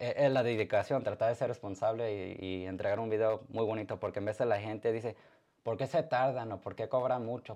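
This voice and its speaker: At a fairly quick pace, a man speaks at a medium pitch in a dark, mellow tone with fairly even intonation over a quiet background. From Mexican-American, born in Arizona, Zacatecas roots. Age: 20s. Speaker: DJ and photographer. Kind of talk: interview. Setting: live-streamed studio interview.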